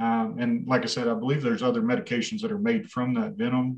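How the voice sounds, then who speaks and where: With a West Texas accent, a man speaks at a medium pitch with ordinary pitch variation. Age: 40s. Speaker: race director. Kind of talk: casual interview.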